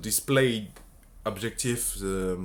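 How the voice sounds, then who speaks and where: The speaker talks at a fairly slow pace with a strong French accent and ordinary pitch variation. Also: man. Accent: French accent, self-described as strong. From France. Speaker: bioinformatics researcher. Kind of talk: technical explainer talk. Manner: halting, many fillers and restarts.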